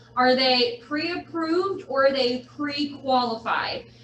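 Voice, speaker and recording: Her high-pitched voice comes through with audible room echo and noticeable background noise. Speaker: real estate agent and trainer. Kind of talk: lecture.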